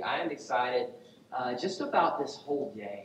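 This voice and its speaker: At a moderate pace with ordinary pitch variation, a man talks amid light background noise and audible room echo. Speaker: pastor. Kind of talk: sermon. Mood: light, joking. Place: church.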